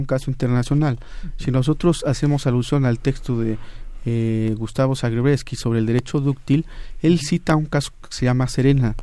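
Ordinary pitch variation colors speech with a dark, mellow tone at a moderate pace. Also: man. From Mexico, Oaxaca. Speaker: supreme court law clerk. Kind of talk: radio panel discussion. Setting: radio studio. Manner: halting.

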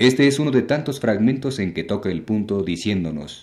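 A man uses a plain, everyday voice, talking neither fast nor slow. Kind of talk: radio lecture on literature. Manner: formal; measured, didactic.

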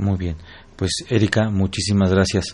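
A man's very deep, low voice moves at a fairly quick pace. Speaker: radio host. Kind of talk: radio interview. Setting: studio. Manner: halting.

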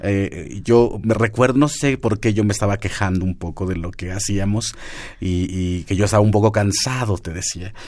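Speaking at a fairly low pitch with ordinary pitch variation, a man has an unremarkable speaking voice. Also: moderate pace. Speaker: radio host. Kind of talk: radio interview. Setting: radio studio.

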